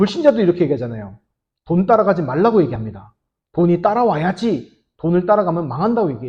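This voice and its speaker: A man talks at a very fast pace in a high pitch. His pitch swings very widely. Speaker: pastor. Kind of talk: sermon. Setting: church.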